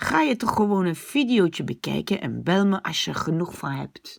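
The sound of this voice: This is a put-on character voice with a guttural sound. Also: female-sounding voice, medium pitch for a woman.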